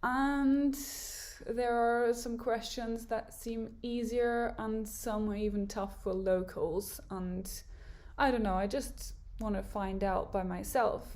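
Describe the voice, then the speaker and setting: Very slow speech from a woman at a fairly high pitch, with audible room echo. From Germany, Hamburg. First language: German. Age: 20s. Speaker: YouTuber. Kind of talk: casual vlog monologue.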